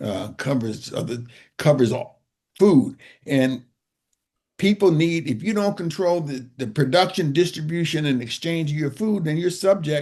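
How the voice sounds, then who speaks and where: A man speaks at a fairly slow pace in a dark, mellow tone with fairly high pitch. The background is quiet. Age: 70s. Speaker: urban farmer and author. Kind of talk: interview conversation.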